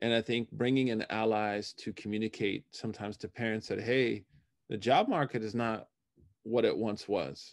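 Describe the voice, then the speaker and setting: A man's normal speaking voice keeps a medium pitch, a moderate pace and fairly even intonation. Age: 40s. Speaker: imam and Islamic scholar. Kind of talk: casual interview.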